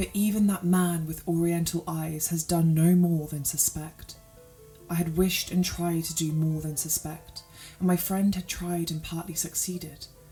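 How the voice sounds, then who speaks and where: A woman with a British accent, fairly low in pitch, flat and monotone in intonation, at a moderate pace over music in the background. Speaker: sleep story narrator. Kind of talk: sleep story. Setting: background organ music.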